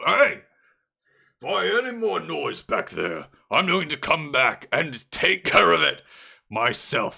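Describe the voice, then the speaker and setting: A man talks at a fairly slow pace in a put-on character voice, leaving long, frequent pauses. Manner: angry, threatening.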